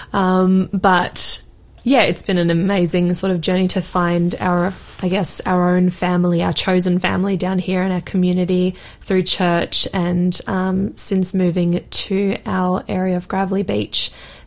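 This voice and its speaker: A woman speaks in an Australian accent. Her intonation is flat and monotone, and her loudness is very even. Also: medium pitch for a woman, fairly slow pace. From Australia, Sydney. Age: 20s. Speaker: cancer survivor sharing her story. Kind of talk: radio interview testimony. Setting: radio studio, live broadcast.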